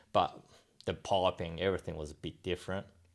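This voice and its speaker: A man with an Australian accent speaks in a monotone with flat intonation, on a very clean recording with a silent background. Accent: Australian-sounding English. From Japan, raised in Australia from age ten. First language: Japanese. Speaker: motocross test rider. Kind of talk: interview. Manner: halting.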